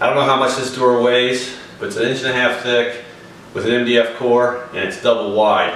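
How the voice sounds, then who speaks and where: A man talks at a moderate pace over light background noise, with audible room echo. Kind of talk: tutorial. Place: home room. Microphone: camera far.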